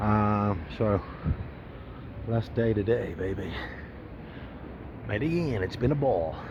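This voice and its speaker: A man's somewhat breathy voice, very slow with long, frequent pauses and lively intonation, in audible room echo. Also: fairly low pitch for a man. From England. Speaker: travel vlogger. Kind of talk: casual vlog monologue. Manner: casual, with fillers and swearing.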